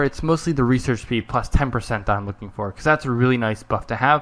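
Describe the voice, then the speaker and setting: Bright and sharp in tone, a man talks at a very fast pace with lively intonation. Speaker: gaming YouTuber. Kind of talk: let's play commentary. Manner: slurred when fast; halting, many fillers.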